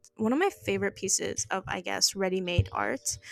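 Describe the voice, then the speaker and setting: A woman speaks with a non-native accent. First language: not English. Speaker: art podcast host. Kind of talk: casual monologue. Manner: halting, many fillers.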